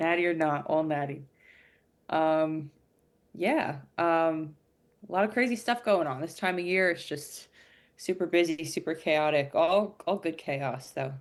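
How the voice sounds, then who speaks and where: A woman with an American accent speaks at a fairly slow pace with long, frequent pauses. Her fairly low pitch shows ordinary variation over a quiet background. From New Jersey. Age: 20s. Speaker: podcast guest, weightlifter. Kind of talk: casual chat.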